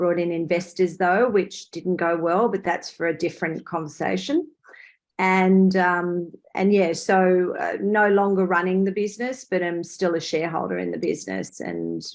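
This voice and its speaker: At a moderate pace, a woman with a fairly low voice talks in fairly even intonation over a quiet background. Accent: Australian. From Australia. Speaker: entrepreneur. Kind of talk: panel discussion.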